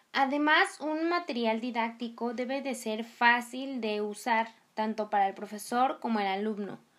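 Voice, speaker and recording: A woman with an unremarkable speaking voice, fairly high in pitch with ordinary pitch variation, at a fairly slow pace with hardly any pauses. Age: 20s. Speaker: languages student and podcast host. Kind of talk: educational podcast monologue. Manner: chatty with frequent filler sounds.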